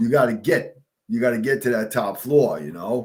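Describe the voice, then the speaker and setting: A man with a New York accent, medium pitch and vocal fry. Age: 60s. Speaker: retired fire captain. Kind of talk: casual interview chat.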